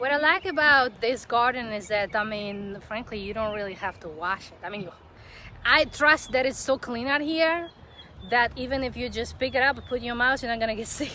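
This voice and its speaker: A woman talks at a fairly quick pace in a high pitch with a non-native accent. Her tone is bright and sharp, with lively intonation and big swings in loudness. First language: not English. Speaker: videographer and live-stream host. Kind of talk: casual interview on a live-stream garden tour. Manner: halting, searching for words.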